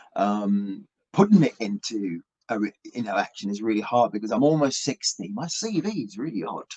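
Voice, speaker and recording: Heard in a dry, close sound with no echo, a man with an English accent makes very wide pitch swings. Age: 50s. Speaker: rock musician. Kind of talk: interview. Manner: halting.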